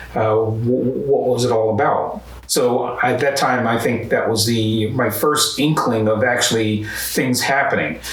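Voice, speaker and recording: Slowish and with hardly any pauses, a man with an American accent speaks at a medium pitch and fairly even intonation. Noticeable background noise and audible room echo fill the recording. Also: very even loudness. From US Northeast, North Philadelphia. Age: 70s. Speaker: human rights activist. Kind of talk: interview testimony. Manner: halting, with many fillers.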